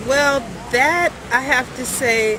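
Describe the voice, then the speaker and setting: With an American accent, a woman speaks with ordinary pitch variation over noticeable background noise. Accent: American accent noticed by Jamaicans. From California. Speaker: reggae singer. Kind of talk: interview. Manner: halting.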